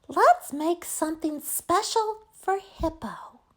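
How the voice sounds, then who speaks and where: Putting on a squeaky character voice, a woman speaks at a fairly slow pace and an extremely high pitch. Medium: read story. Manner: excited, bubbly.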